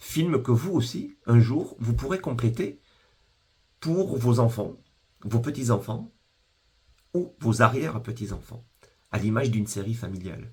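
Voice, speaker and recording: Somewhat breathy and at a fairly slow pace, the voice has lively intonation and long, frequent pauses. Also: man, medium pitch for a man. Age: 50s. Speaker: business founder. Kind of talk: sales pitch. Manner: formal.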